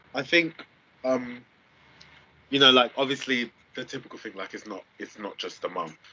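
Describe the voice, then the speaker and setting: With a South London accent, a man of medium pitch speaks at a moderate pace with ordinary pitch variation, big swings in loudness, and long, frequent pauses. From Southeast London. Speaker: university student and support worker. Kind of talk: interview. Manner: casual, many fillers.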